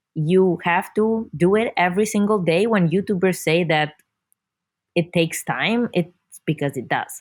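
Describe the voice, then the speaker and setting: On a very clean recording with a silent background, the speaker moves at a moderate pace with ordinary pitch variation. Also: woman, medium pitch for a woman. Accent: Italian. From Italy. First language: Italian. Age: 20s. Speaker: video creator for marketing company. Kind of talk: podcast interview.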